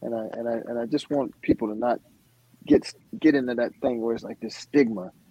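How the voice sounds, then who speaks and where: A man with an American accent speaks at a fairly quick pace with fairly even intonation, in a dry, close sound with no echo. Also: medium pitch for a man. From US South. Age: 50s. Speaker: musician. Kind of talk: casual conversation, personal testimony. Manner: halting, repetitive.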